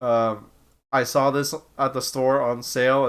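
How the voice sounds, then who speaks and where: Speaking at a fairly slow pace, a man has a bright, sharp tone on a very clean recording with a silent background. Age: 30s. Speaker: streamer. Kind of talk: casual chat. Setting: live stream. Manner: casual, halting with repetitions.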